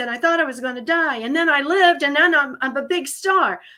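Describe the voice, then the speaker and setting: A woman's raised, projected voice with a bright, sharp, animated tone at a fairly quick pace, on a very clean recording with a silent background. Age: 70s. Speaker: humor writer and speaker. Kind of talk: interview conversation.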